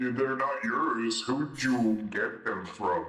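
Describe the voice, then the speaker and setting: A man uses a put-on character voice with a medium pitch. His delivery is very slow. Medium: machinima. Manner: teasing, amused.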